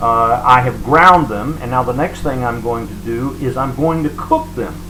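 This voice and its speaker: Through audible room echo and noticeable background noise, a man talks with ordinary pitch variation. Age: 60s. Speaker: cooking and diet vlogger. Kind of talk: video diary cooking tutorial. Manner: hesitant, many fillers.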